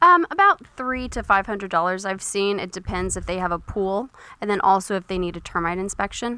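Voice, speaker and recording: A woman with an American accent speaks at a fairly quick pace. Her tone is bright and sharp, with ordinary pitch variation. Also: medium pitch for a woman. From Texas, Dallas area. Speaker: realtor. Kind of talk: radio interview.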